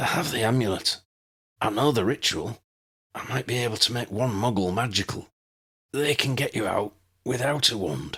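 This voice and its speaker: A put-on character voice, hoarse, croaky and raspy, moves at a moderate pace. Long, frequent pauses break up the speech. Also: man, medium pitch for a man. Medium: read story.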